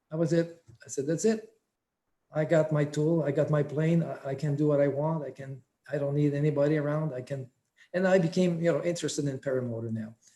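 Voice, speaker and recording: Talking at a very fast pace yet with long, frequent pauses, a man with a fairly high pitch has a dark, mellow, somewhat breathy tone and fairly even intonation. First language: French. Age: 60s. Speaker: paramotor instructor. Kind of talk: interview.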